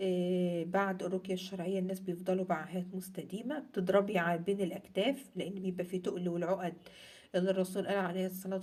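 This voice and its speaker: A woman speaks with an Egyptian accent. Her tone is dark and mellow. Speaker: religious content creator. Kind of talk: casual talk to camera.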